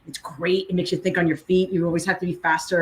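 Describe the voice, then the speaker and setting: Very fast talk from a woman with an American accent, fairly low in pitch and somewhat breathy. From New Jersey, Hunterdon County. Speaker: legal recruiter, lawyer. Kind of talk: podcast interview.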